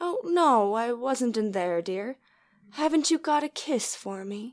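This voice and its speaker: A female-sounding voice does a put-on character voice, high in pitch. It moves at a fairly slow pace on a very clean recording with a silent background. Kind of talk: 1930s radio drama acting. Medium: audio drama. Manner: sweet, affectionate.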